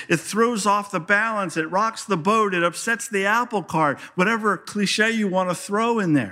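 A man's high, bright, sharp voice, raised and projected, with ordinary pitch variation in a very clean recording with a silent background. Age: 60s. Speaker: pastor. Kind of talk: sermon.

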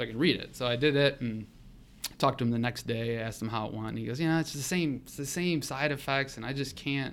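A man with an American accent, medium pitch and ordinary pitch variation, at a very fast pace with big swings in loudness. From Ohio, Cleveland area. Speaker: accountant. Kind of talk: casual interview chat.

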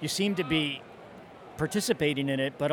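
This man has a plain, everyday voice, pitched fairly high. He talks at a fairly quick pace with ordinary pitch variation. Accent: American. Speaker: baseball fan. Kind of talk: interview. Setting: ballpark stands.

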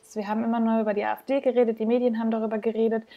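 The voice comes across in a monotone, flat intonation on a very clean recording with a silent background. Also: woman. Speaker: podcast host. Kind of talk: casual interview.

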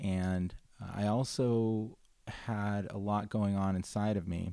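Speaking with a Californian accent, a man uses a fairly low pitch, a dark, mellow tone and fairly even intonation. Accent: Californian American English. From Los Angeles, San Fernando Valley. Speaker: restaurant founder and CEO. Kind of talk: casual interview chat.

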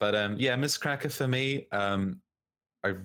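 The speaker has a New Zealand accent and ordinary pitch variation. The recording is very clean, with a silent background. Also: man. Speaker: podcast co-host. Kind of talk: casual chat.

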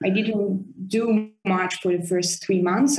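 Speaking very slowly, a woman uses a medium pitch with an Italian accent. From Italy. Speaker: orchestra conductor. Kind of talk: interview. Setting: video call.

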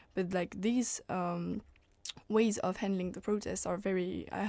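In a French accent, a woman speaks at a medium pitch and a moderate pace, her tone dark and mellow. Her intonation is fairly even, with a quiet background. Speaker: political science student. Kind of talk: radio panel discussion.

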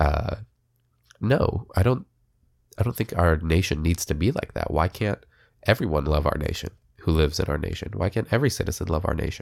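A man's very deep, low voice, fairly quick with lively intonation, broken by long, frequent pauses, on a very clean recording with a silent background. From Israel until age seven, then US. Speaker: podcast host. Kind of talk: solo political commentary podcast. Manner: casual, with frequent fillers.

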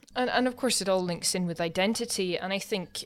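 Here a woman talks with a Scottish accent at medium pitch. The recording is very clean, with a silent background. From Scotland. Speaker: podcast host. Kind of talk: casual chat.

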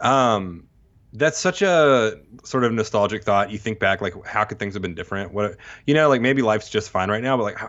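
A man with an American accent talks at a fairly quick pace, his intonation lively. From Texas and Mississippi. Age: 30s. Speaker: podcast host and bass player. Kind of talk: casual chat.

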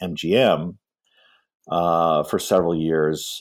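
Recorded very cleanly over a silent background, a man with a Midwestern American accent speaks at a very deep, low pitch. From US Midwest, Michigan. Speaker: film historian and author. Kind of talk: interview.

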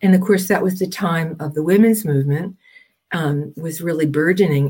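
With an American accent, a woman speaks at a moderate pace in a somewhat breathy voice, her fairly low pitch and dark, mellow tone carried by lively intonation. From US Northeast, New Jersey. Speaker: Jungian analyst. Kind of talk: interview.

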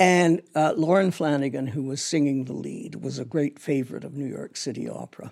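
A woman with a Canadian accent speaks at a very deep, low pitch with vocal fry. She talks at a fairly quick pace with hardly any pauses and ordinary pitch variation. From Canada, Toronto. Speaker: theatre designer. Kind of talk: interview.

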